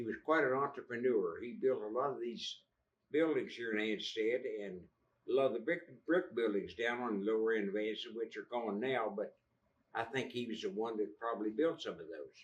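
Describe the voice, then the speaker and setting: This man talks with an Appalachian accent. He moves at a fairly quick pace. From West Virginia (Fayette County). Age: 80s+. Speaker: local historian. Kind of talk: public talk. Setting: library audience. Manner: halting.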